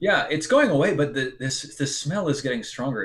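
A somewhat breathy, fairly high male voice with very wide pitch swings. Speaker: game master. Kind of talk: tabletop role-play narration. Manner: halting, many fillers. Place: home room. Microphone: video call.

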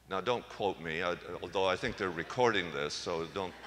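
This man's voice sits very deep and low. Its pitch variation is ordinary. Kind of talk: homily at Mass, conversational and teaching. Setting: church. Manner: conversational, plainspoken; gently humorous, reflective.

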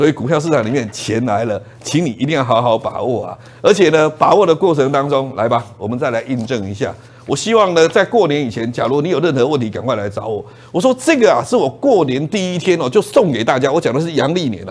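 This man talks very fast with a fairly high pitch and an animated tone. His intonation is lively throughout. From Taiwan. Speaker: stock market commentator. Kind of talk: investment TV show pitch. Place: studio. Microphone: lapel.

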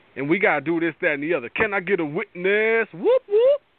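A man talks in an animated tone, his pitch swinging widely.

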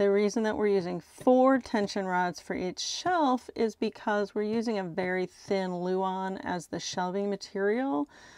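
Against a quiet background, a woman talks at a fairly slow pace in a dry sound with no echo. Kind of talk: casual vlog chat. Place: home room. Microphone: phone near.

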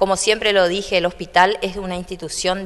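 This is a normal speaking voice. The pace is fairly quick. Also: woman. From Argentina, Corrientes (Santa Lucía); Corrientes, Argentina. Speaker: hospital doctor and administrator. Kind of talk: public speech and guided tour; interview answer. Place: hall. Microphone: handheld.

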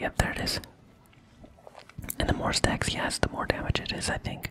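Someone whispers at a fairly quick pace in a relaxed tone. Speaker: ASMR content creator. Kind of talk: ASMR gameplay commentary, casual talk. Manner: whispering, relaxed. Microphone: studio mic.

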